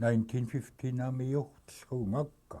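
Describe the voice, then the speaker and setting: The man's tone is dark and mellow. His delivery is very slow. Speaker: community elder. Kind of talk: oral history interview.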